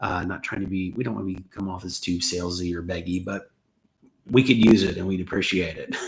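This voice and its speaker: A somewhat breathy man with an American accent at a fairly quick pace, very deep and low in pitch, with fairly even intonation and big swings in loudness. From US South, Atlanta. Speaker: YouTube host, expat creator. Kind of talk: livestream chat answering viewer questions. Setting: home kitchen, livestream.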